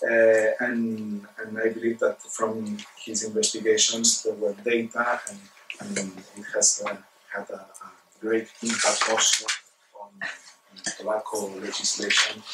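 Speech comes at a fairly slow pace over loud background noise. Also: man. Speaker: seminar host. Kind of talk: speaker introduction. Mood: warm, light laughter. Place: meeting room. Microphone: camera far.

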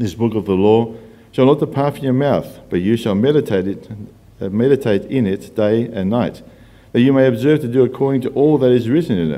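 At a fairly quick pace, a man speaks in a dark, mellow tone with ordinary pitch variation. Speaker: scripture reader. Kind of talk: scripture reading. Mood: calm, measured. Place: church. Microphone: podium.

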